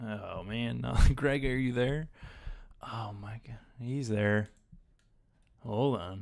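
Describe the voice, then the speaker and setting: Long, frequent pauses fill a man's very slow speech, delivered with fairly even intonation. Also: medium pitch for a man, big swings in loudness. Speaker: fantasy sports analyst. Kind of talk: live stream chat. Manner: loud.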